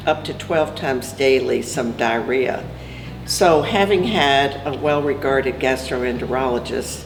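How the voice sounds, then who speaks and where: A woman speaks at a fairly slow pace amid audible room echo and noticeable background noise. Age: 70s. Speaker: cancer survivor. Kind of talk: testimony.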